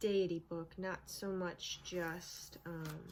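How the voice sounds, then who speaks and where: Speaking at a very slow pace, a woman keeps a fairly even intonation against noticeable background noise. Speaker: video blogger on witchcraft. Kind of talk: casual show and tell. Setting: home with pets. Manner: halting, many fillers.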